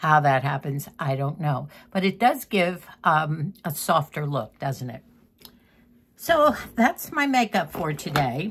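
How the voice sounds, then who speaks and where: Very slowly and somewhat breathily, a woman speaks in a very deep, low voice with lively intonation. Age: 80s+. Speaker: lifestyle vlogger. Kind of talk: casual chat. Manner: halting.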